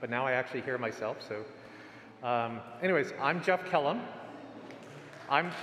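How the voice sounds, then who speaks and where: With audible room echo, a man speaks at a moderate pace, leaving long, frequent pauses. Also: medium pitch for a man, ordinary pitch variation. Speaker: type designer presenting at a symposium. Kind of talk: conference talk. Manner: projects loudly when he can't hear himself; halting, many restarts.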